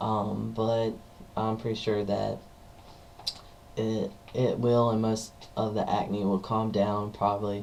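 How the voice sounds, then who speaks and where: Over noticeable background noise and audible room echo, a man with a fairly low pitch speaks at a very slow pace. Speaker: vlogger. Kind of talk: personal vlog monologue. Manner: hesitant, many fillers.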